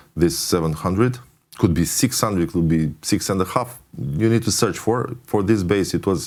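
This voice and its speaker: A man talks at a fairly low pitch. His pitch swings very widely. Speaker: music producer and mixing engineer. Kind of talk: tutorial. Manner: halting, many fillers.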